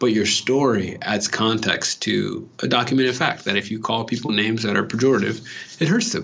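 The man's voice is medium in pitch with ordinary variation, moving at a fairly quick pace. Noticeable background noise runs underneath. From Los Angeles (Watts). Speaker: educator. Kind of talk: interview.

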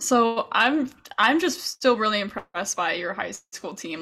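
A woman speaks with an American accent in a plain, everyday voice. Her pitch is medium, with ordinary variation. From Chicago. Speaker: podcast host, college golfer. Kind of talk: casual chat.

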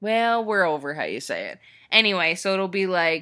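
Recorded very cleanly against a silent background, a woman speaks at a moderate pace in a bright, sharp tone with ordinary pitch variation. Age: 20s. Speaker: podcast co-host. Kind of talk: casual chat. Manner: laughs often.

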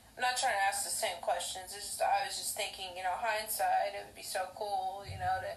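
Fairly quick delivery with fairly even intonation, hardly any pauses, and noticeable background noise. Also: woman, medium pitch for a woman. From Oklahoma. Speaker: podcast host. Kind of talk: casual interview. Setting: video call. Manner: halting.

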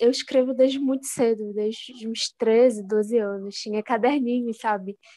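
A woman with a normal speaking voice talks at a fairly slow pace, her fairly high pitch held in fairly even intonation. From Belém, Pará (childhood in Rio de Janeiro). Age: 20s. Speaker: poet. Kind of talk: interview.

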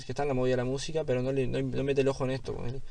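A man's medium-pitched voice in a Uruguayan accent at a very fast pace, over noticeable background noise. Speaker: freestyle rapper. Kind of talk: casual interview.

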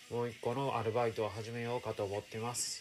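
A man with a Kansai accent at a medium pitch and a fairly quick pace, with music in the background. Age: 40s. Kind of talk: personal audio diary monologue.

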